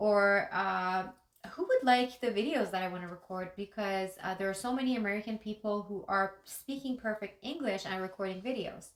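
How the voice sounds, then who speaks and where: A woman speaks with a Persian accent at a moderate pace. Her pitch varies in an ordinary way. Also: medium pitch for a woman. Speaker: life coach and YouTuber. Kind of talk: motivational talk to camera. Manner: unscripted, with some hesitations.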